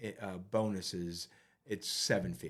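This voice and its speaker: Ordinary pitch variation in a man's speech. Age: 60s. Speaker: retired corporate executive. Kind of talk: interview. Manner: halting, many fillers and repeats.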